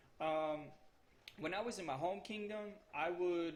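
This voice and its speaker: A man's fairly high voice with a Spanish accent amid audible room echo. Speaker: gaming YouTuber. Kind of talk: tutorial. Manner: casual, hesitant with fillers.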